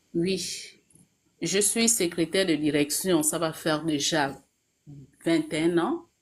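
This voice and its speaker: At a very slow pace with long, frequent pauses, a woman with a fairly low voice talks with ordinary pitch variation. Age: 40s. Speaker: caller, executive secretary. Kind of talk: personal testimony. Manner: hesitant, many fillers.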